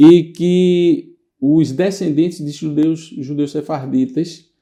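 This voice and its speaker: Very slow delivery pairs a dark, mellow tone with fairly even intonation. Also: man, fairly high pitch for a man. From Northeast Brazil, Recife. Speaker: lawyer. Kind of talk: interview. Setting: studio.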